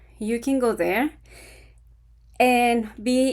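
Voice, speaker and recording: In a very clean recording with a silent background, a woman speaks with an Ecuadorian accent. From Ecuador, Quito. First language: Spanish. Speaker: vlogger on retiring in Ecuador. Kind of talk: casual talk to camera.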